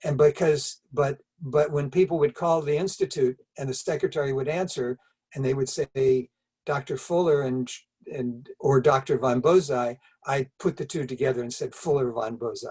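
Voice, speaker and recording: A man's fairly high, somewhat breathy voice, dry and close with no echo, at a moderate pace with fairly even intonation. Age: 70s. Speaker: wellness pioneer, doctor. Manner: halting, with repetitions.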